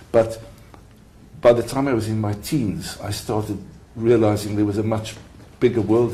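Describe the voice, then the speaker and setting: There is audible room echo as a man with a fairly low pitch speaks in a dark, mellow, somewhat breathy tone. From South Africa. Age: 70s. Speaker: retired mediator and lawyer. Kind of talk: interview. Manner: halting.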